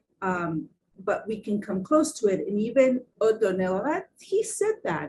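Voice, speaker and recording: Very wide pitch swings in a somewhat breathy, dark, mellow tone at a fairly slow pace. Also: woman. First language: Spanish or Portuguese. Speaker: design symposium panelist. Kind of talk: panel discussion. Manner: halting, many fillers and repeats.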